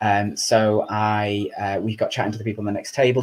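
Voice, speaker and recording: A man speaks with a Lancashire accent in a medium-pitched voice. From Chorley, Lancashire, England. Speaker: charity chief executive. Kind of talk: interview answer.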